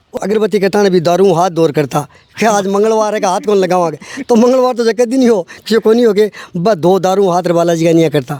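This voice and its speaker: A man speaks at a high pitch with ordinary pitch variation and very even loudness. Noticeable background noise sits behind him. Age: 60s. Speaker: villager, widower. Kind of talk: interview.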